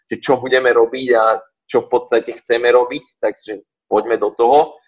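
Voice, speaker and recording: Moderately paced male speech in a dry, close sound with no echo. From western Slovakia, Partizánske. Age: 20s. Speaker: gym owner and fitness coach. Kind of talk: casual interview. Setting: online call.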